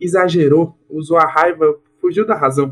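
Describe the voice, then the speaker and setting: Intonation stays fairly even while the pace runs fairly slow. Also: man. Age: 20s. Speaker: stand-up comedian and engineer. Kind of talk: casual interview chat.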